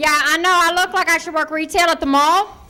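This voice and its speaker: A woman with an American accent uses a raised, projected voice at a moderate pace. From Ohio, US. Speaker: stand-up comedian. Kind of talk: stand-up. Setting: stage with audience.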